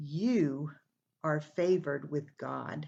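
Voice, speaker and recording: A woman's put-on, growling character voice with a very deep, low pitch. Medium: read story. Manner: warm, reassuring.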